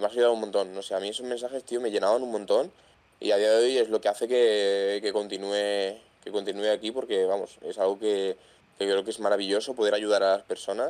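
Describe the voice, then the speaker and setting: At a very fast pace, a man with a fairly low voice talks in a monotone, flat intonation. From Madrid, Spain. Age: 20s. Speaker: content creator with tetraplegia. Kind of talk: casual interview chat. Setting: video call.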